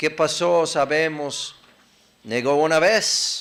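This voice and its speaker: A man speaks at a very slow pace with an American accent. There is noticeable background noise. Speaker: preacher. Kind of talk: sermon. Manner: conversational, halting at times.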